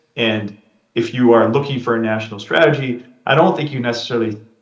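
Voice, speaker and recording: A man with an American accent talks at a fairly quick pace and a medium pitch, with ordinary pitch variation. Audible room echo surrounds his voice. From United States. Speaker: tech executive. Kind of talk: fireside chat interview. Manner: hesitant, many fillers.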